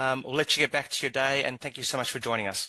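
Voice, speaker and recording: A man talks very fast in a South African accent, his pitch fairly high and his tone bright and sharp. The background is quiet. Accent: South African twang. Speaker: regional manager, interviewer. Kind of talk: interview. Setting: live online stream.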